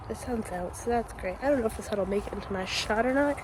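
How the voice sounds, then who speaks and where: A woman's fairly high voice at a very fast pace, with very wide pitch swings over noticeable background noise. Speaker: lifestyle vlogger. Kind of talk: casual vlog talk. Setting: outdoors.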